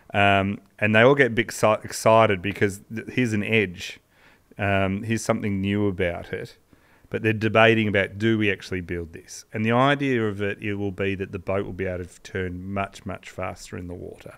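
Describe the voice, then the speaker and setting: A man with an Australian accent, fairly low in pitch, fairly even in intonation, at a moderate pace against a quiet background. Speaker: podcast co-host, sports history storyteller. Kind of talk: casual storytelling chat. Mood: relaxed, amused. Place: studio. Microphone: studio mic.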